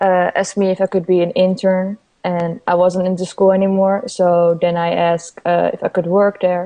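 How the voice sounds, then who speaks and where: With hardly any pauses, a woman in a Dutch accent speaks in a monotone, flat intonation at a medium pitch. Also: moderate pace. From Netherlands. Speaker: graphic designer and illustrator. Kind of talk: interview.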